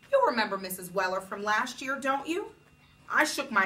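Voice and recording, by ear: The delivery is reading aloud in a natural voice. Its intonation sounds lively.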